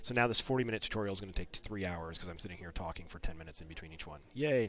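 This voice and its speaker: A man with a very deep, low pitch speaks at a very fast pace. His intonation is lively, with big swings in loudness. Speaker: game developer. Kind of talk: live-streamed design commentary. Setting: live stream. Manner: casual, filler-heavy.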